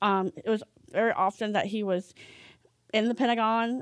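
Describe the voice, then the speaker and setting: In an ordinary speaking voice, a woman talks at a moderate pace and medium pitch with ordinary pitch variation, recorded dry and close with no echo against a silent background in a very clean recording. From US, Northern Virginia. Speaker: church member sharing testimony. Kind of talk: testimony. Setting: home.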